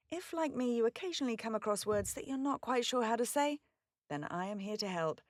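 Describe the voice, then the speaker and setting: With a British accent, a woman talks at a fairly quick pace and a fairly high pitch, her pitch swinging very widely in a dry, close sound with no echo. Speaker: voice actor. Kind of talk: pronunciation guide. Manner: clear, careful enunciation.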